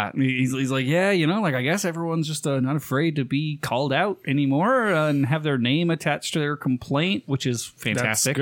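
A man with an American accent speaks at a moderate pace with hardly any pauses. His fairly high voice has ordinary pitch variation and very even loudness. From Nevada. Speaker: podcast co-host. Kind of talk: casual, profane.

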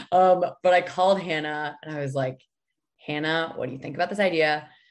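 Fairly quick talk from a woman with an American accent, an unremarkable speaking voice and fairly low pitch. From New Hampshire, US. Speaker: food company founder and CEO. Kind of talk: interview.

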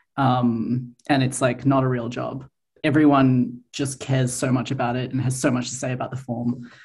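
The delivery has a moderate pace. It is spoken in an Australian accent. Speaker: comics artist. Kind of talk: interview.

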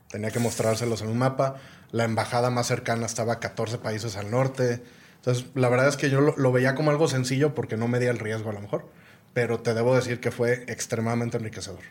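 A man with a medium pitch talks at a very fast pace, his intonation fairly even. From Guadalajara, Mexico. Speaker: entrepreneur and business executive. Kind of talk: casual interview conversation.

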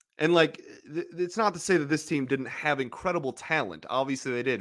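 The recording is very clean and the background silent. A man speaks with lively intonation. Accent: American. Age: 20s. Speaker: sports podcast host. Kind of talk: casual chat.

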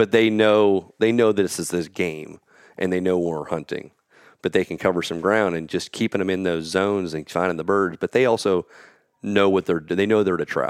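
Recorded dry and close with no echo, a man with an American accent talks in a very deep, low pitch with fairly even intonation. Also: moderate pace. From Pennsylvania. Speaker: field trial competitor and organizer. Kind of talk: casual interview conversation.

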